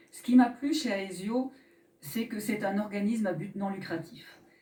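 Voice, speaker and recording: A woman speaks with ordinary pitch variation. There is noticeable background noise behind her. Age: 50s. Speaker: association director and mutual insurance delegate. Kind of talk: mock trial testimony. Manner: formal.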